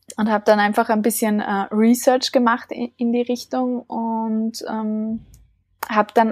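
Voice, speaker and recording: A woman with a fairly high, somewhat breathy voice speaks very slowly in a dry, close sound with no echo. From Austria (small village). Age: 20s. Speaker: leadership coach and founder. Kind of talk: interview.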